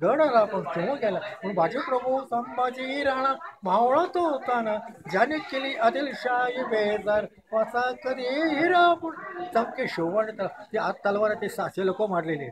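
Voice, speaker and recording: A man's extremely high-pitched voice with lively intonation over noticeable background noise. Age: 80s+. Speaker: hereditary fort keeper and guide. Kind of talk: oral history told to visitors.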